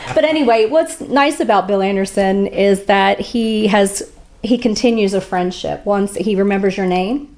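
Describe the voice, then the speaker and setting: A woman with a normal speaking voice in an American accent, at medium pitch, with ordinary pitch variation and a moderate pace. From West Virginia, USA. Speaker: country singer and songwriter. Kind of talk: interview answer, casual storytelling. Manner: chatty, upbeat, laughing.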